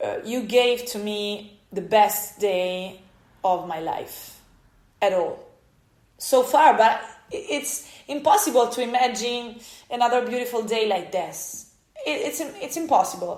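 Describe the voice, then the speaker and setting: Audible room echo surrounds a woman with a high pitch and an Italian accent. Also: lively intonation, big swings in loudness. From Italy. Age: 30s. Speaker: podcaster. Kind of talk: personal storytelling monologue. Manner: halting, many fillers and restarts.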